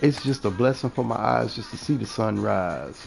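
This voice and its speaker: A man speaks with a New Orleans accent in an animated tone at a fairly slow pace. Music plays in the background. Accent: New Orleans Southern US. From US South, New Orleans. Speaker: gaming streamer. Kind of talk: casual monologue while gaming.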